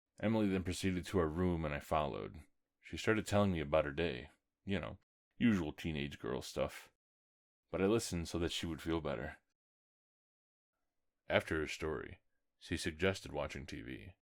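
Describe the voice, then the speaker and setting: On a very clean recording with a silent background, a man with a very deep, low pitch and vocal fry talks at a fairly quick pace with ordinary pitch variation and long, frequent pauses. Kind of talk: horror story reading.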